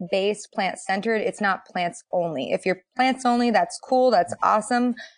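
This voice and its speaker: A woman speaks in an unremarkable speaking voice with an American accent. Her pitch sits fairly high, and her intonation is lively. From Boston. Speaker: dietitian. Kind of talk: casual roundtable chat.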